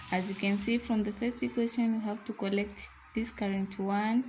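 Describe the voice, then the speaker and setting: This woman talks at a moderate pace with a non-native accent. Her pitch is fairly high and her intonation fairly even. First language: not English. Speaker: online tutor. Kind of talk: tutorial.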